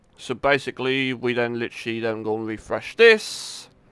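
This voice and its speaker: With a British accent, a man speaks at a fairly slow pace in a bright, sharp tone. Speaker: gaming streamer. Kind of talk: live gameplay commentary. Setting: live stream. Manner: casual, halting.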